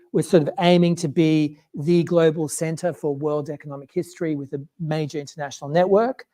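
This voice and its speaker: The speaker has an Australian accent and talks at a fairly quick pace. There are hardly any pauses. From Australia, Queensland. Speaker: economics researcher. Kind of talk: public talk. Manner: casual, many fillers.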